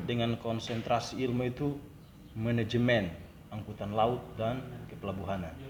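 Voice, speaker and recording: A man with a Maluku accent speaks at a medium pitch and moderate pace, with fairly even intonation and long, frequent pauses. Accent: Banda Malay dialect. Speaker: port officer. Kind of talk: interview answer.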